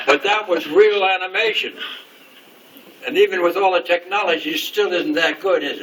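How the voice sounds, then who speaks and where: Noticeable background noise runs beneath a man speaking at a high pitch. He leaves long, frequent pauses. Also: ordinary pitch variation, moderate pace. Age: 80s+. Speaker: retired animation background artist. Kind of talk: informal talk to an audience. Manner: animated; halting.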